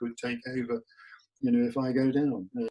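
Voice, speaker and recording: A man speaks with a London accent, the sound dry and close with no echo. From England, north London. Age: 50s. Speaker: polar explorer. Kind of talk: interview. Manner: halting, many fillers.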